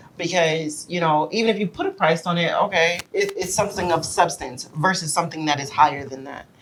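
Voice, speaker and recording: A woman talks at a fairly quick pace in an animated tone, her pitch fairly low. Her pitch varies in an ordinary way, and there is noticeable background noise. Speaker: married guest sharing relationship advice. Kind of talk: casual podcast chat. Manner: loud.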